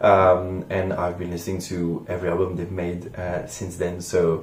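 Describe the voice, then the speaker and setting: Audible room echo carries a man's very deep, low voice. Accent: French. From France. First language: French. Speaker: music reaction youtuber. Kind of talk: casual vlog monologue. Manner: hesitant, many fillers.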